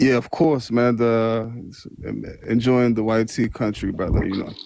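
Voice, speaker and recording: This man's voice has a dark, mellow tone. His loudness swings widely. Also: medium pitch for a man, fairly even intonation, moderate pace. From Nigeria. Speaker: caller. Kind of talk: heated debate.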